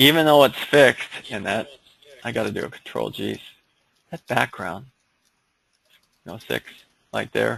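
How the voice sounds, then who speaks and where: A man at a fairly slow pace, with long, frequent pauses and big swings in loudness. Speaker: engineering software instructor. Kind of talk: online seminar tutorial. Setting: online seminar with screen sharing. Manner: casual, hesitant with fillers.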